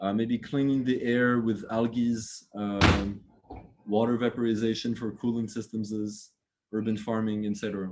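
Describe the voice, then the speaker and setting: A man talks in a monotone, flat manner with a slight French accent. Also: medium pitch for a man, moderate pace. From France. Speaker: architect. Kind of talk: lecture. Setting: video call. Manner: halting, many fillers and repeats.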